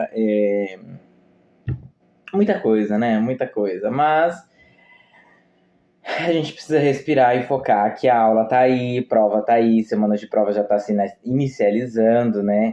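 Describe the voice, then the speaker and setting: This man has a medium pitch and a dark, mellow tone, speaking at a fairly slow pace with ordinary pitch variation. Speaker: health course teacher. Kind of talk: lecture; casual chat.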